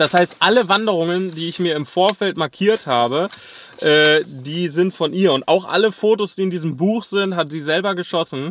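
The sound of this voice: A man's high-pitched voice with a fairly bright tone, ordinary pitch variation, few pauses and a moderate pace.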